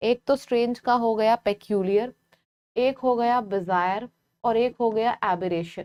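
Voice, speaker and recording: Soft-spoken and fairly high in pitch, a woman keeps her loudness very even and her intonation fairly even, in a dry, close sound with no echo. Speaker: English teacher for exam prep. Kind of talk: live online class.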